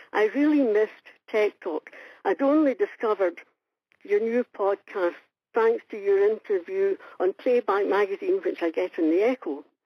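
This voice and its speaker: A woman speaks at a fairly high pitch and a moderate pace. Her pitch swings are very wide. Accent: Scottish. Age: 70s. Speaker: listener leaving a voicemail. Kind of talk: voicemail message. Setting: phone call.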